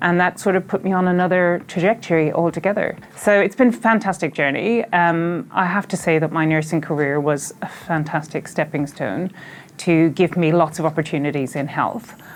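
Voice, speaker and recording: Talking at a moderate pace, a woman barely pauses. Her pitch variation is ordinary. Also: fairly low pitch for a woman. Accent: Irish. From Ireland. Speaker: health organization chief executive. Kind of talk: interview.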